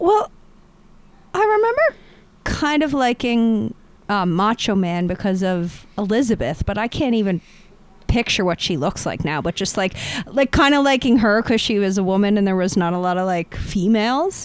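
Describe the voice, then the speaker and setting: Her voice is a plain, everyday voice, medium in pitch for a woman, with lively intonation and a moderate pace. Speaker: podcast co-host. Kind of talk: casual chat.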